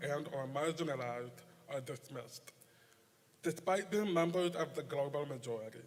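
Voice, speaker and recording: With an American accent, this man talks using ordinary pitch variation. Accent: deaf. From Nebraska. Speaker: poetry contest judge. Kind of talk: prepared speech.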